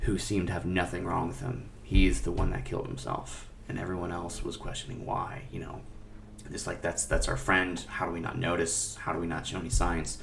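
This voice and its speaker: A man with a very deep, low voice swings his pitch very widely, with audible room echo and noticeable background noise. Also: fairly quick pace. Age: 20s. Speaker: music director and teacher, podcast guest. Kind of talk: personal testimony in a panel discussion. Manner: halting, with many fillers and repetitions.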